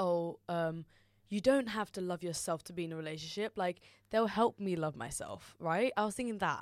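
On a very clean recording with a silent background, someone with a London accent speaks at a fairly quick pace with ordinary pitch variation. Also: woman. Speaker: university student. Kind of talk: casual chat.

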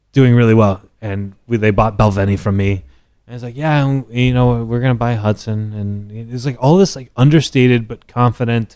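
Against a quiet background, a man speaks at a moderate pace in a dark, mellow tone, with big swings in loudness and ordinary pitch variation. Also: medium pitch for a man. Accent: American. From Texas, Dallas area. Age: 30s. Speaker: whisky brand ambassador. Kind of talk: casual chat. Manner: animated.

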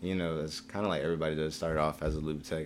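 A man with an American accent and a very deep, low pitch speaks at a very fast pace in a flat monotone. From New Jersey. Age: 20s. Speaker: podcast guest. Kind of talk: casual chat.

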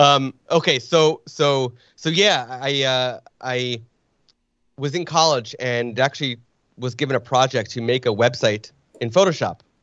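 This man, with an American accent, has a normal speaking voice at medium pitch, talking at a fairly slow pace with ordinary pitch variation. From northern New Jersey, Springfield. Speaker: photographer. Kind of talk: casual interview.

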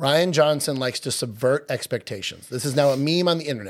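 A man with a Long Island accent speaks at a fairly quick pace. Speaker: podcast co-host. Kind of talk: casual chat.

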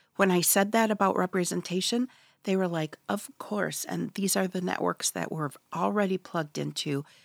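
In a very clean recording with a silent background and a dry, close sound with no echo, a woman with an American accent and an unremarkable speaking voice speaks at a moderate pace, her fairly low pitch varying in an ordinary way. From Michigan's Upper Peninsula, Ojibwe community. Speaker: author. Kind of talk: interview. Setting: studio.

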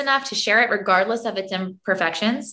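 A woman talks at a moderate pace with an American accent. Her tone is bright and sharp. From US, Florida and New York City. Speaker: podcast co-host, former ballet dancer. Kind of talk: casual chat.

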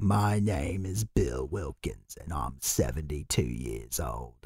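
Using a put-on character voice, a man speaks at a very slow pace with a very deep, low pitch and very wide pitch swings. Music plays in the background.

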